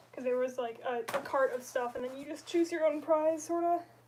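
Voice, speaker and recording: Noticeable background noise runs behind a woman's voice. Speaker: livestreamer, costume maker. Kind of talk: casual livestream crafting chat. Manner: casual, hesitant with fillers.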